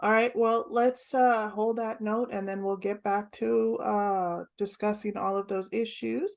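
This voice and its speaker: Over a quiet background, a woman with an American accent speaks at a medium pitch and a fairly slow pace, with hardly any pauses and fairly even intonation. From California. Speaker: podcast host. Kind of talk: casual chat.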